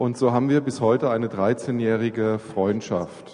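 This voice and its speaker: A man speaks at a medium pitch with ordinary pitch variation and a fairly slow pace. His tone is dark and mellow. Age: 40s. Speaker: church planter and aid worker. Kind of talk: church talk interview.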